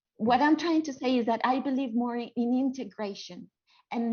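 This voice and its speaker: A woman talking at a fairly quick pace, with ordinary pitch variation. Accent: non-native. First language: not English. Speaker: theatre educator. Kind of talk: panel discussion. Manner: halting.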